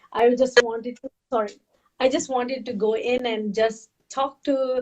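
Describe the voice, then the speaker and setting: High-pitched female voice in a Pakistani accent. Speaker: health and fitness coach. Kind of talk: storytelling interview. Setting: webcast. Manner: animated.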